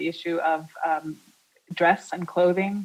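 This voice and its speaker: Her pitch falls in the middle range. This woman keeps a fairly even intonation. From born in the US, Dutch mother. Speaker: art historian giving a lecture, former museum curator. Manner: hesitant, many filler sounds.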